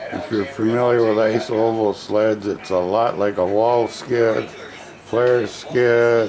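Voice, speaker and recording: Over noticeable background noise and audible room echo, a man speaks very slowly at medium pitch in a monotone, flat intonation. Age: 70s. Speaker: small workshop builder. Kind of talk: product demo video. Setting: workshop. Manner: casual, halting.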